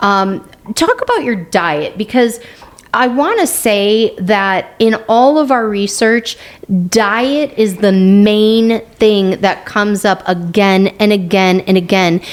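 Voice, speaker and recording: Someone with an American accent speaks at a very slow pace over noticeable background noise. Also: woman, fairly high pitch for a woman, ordinary pitch variation, very even loudness. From United States. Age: 50s. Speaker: podcast co-host. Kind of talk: casual chat.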